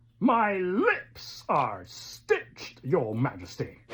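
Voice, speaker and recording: A female-sounding put-on character voice at a middle pitch speaks at a very slow pace. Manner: bold, heroic.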